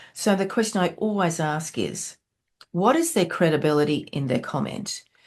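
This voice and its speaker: In an Australian accent, a woman with a fairly low voice talks at a moderate pace with lively intonation. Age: 60s. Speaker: entrepreneur and business mentor. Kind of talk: podcast interview.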